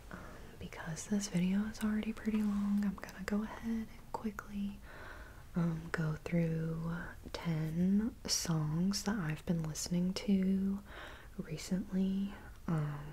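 A woman talks very slowly, her intonation staying fairly even. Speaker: vlogger. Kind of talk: casual vlog chat. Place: home room. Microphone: earbuds.

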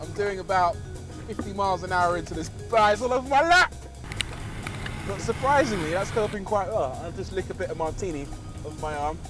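With clear music in the background, a man speaks in a playful tone at a fairly quick pace, pausing long and often, and the sound is dry with no echo. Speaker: TV presenter. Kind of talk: TV car presenter showreel. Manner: playful, sarcastic, comedic. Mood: playful, joking. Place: car.

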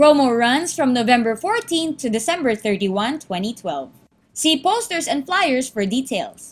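A woman speaks at a fairly slow pace in a high pitch. Her pitch swings very widely. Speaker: voice actor. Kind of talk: TV commercial read.

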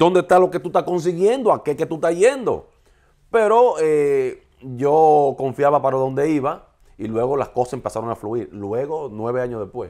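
The voice has a dark, mellow tone and lively intonation. It moves at a moderate pace. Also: man, quiet background. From Dominican Republic, Santiago; Dominican Republic. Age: 40s. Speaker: TV and radio presenter; radio presenter. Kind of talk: interview. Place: home room.

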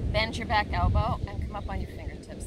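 A woman speaks over loud background noise. Her voice is dry, with no echo. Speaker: yoga instructor. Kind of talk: guided yoga class cueing poses and breaths step by step. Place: beach.

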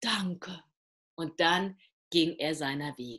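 The background is quiet. A woman speaks at a very slow pace. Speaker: storyteller. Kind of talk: fairy tale storytelling. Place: home room. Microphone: video call.

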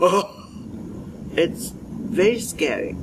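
A woman talks while noticeable background noise fills the recording. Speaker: interviewee demonstrating sneezes. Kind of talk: casual talk to camera. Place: garden. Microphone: lapel.

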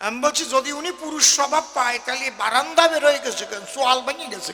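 A man's raised, projected voice at an extremely high pitch, animated in tone, over noticeable background noise. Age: 60s. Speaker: kabigaan folk singer and preacher. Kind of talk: religious discourse to audience.

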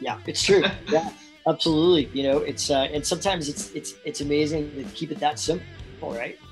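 A man at a fairly high pitch and fairly quick pace, with lively intonation and faint music in the background. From Canada. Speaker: voice actor. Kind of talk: interview answer. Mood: relaxed, upbeat. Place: home room. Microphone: video call.

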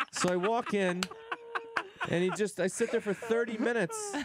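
Noticeable background noise sits behind a male speaker. His voice sounds dry, without any echo. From southern Illinois. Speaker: stand-up comedian. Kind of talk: radio interview with comedic storytelling. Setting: studio. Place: studio. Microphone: studio mic.

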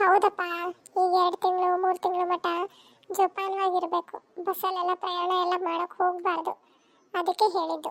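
A woman performs a cartoonish character voice at an extremely high pitch, in monotone, flat intonation. Her moderate pace comes through a dry, close sound with no echo. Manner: brisk, plain-spoken.

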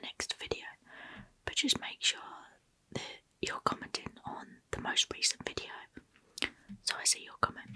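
A whisper moves at a moderate pace with long, frequent pauses and big swings in loudness. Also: woman. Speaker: ASMR creator. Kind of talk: soft-spoken ASMR product show and tell. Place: home room. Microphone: studio mic.

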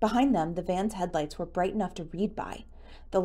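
Reading aloud in a natural voice, its pitch shifting in an ordinary manner

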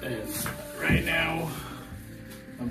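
A man speaks at a slow pace while clear music plays in the background.

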